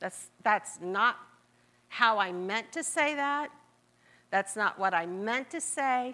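With lively intonation and a bright, sharp tone, a woman speaks at a fairly slow pace. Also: very clean recording, silent background. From US Midwest (Marietta, Ohio). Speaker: guest preacher. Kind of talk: sermon. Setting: church.

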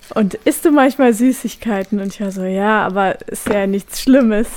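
Over noticeable background noise, a woman of medium pitch talks at a fairly slow pace with fairly even intonation. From Brandenburg, Germany (Nauen). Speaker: radio host. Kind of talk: casual chat.

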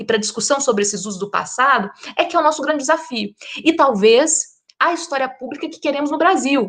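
A high-pitched woman talks at a moderate pace, her intonation lively. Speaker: historian. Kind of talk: panel discussion.

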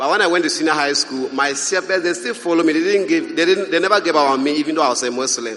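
A man with a Ghanaian accent, high in pitch with ordinary variation, talking at a very fast pace over noticeable background noise. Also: hardly any pauses. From Ghana, Upper East Region. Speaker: Bible school student. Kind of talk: testimony. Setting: stage with audience.

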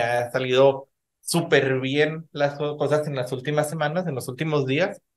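A man speaks with a Mexican accent at a fairly slow pace. His voice is somewhat breathy. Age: 30s. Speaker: podcast host. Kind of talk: casual chat.

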